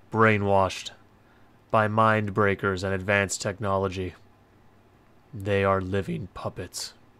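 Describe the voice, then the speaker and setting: Using a put-on character voice, a man speaks at a fairly low pitch in a monotone, flat way, at a fairly slow pace with long, frequent pauses. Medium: read story. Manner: solemn, cool.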